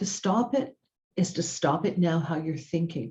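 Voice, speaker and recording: A woman speaks in a fairly low, somewhat breathy voice. Her pace is fairly slow. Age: 60s. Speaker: self-help video host. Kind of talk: motivational talk. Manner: casual, conversational with hesitations.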